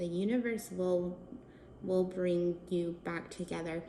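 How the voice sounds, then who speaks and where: A woman with a medium pitch speaks at a fairly slow pace. Room echo is audible, along with noticeable background noise. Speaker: tarot reader and wine host. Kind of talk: tarot reading.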